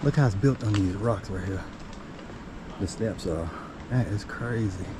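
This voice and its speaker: A man's fairly low-pitched voice comes through noticeable background noise. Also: ordinary pitch variation, moderate pace. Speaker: nature vlogger. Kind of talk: casual vlog narration. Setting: outdoors on hiking trail. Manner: quiet, near whisper.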